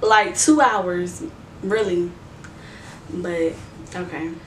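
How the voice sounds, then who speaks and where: A woman speaking at a very slow pace, with noticeable background noise and audible room echo. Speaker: beauty and lifestyle youtuber. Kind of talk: casual advice vlog. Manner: casual, conversational.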